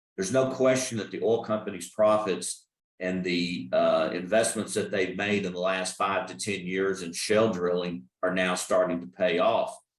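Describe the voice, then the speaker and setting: A man with a Texas accent and a fairly low pitch, at a moderate pace with ordinary pitch variation and hardly any pauses. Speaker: energy risk consultant. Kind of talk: expert talk. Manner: halting.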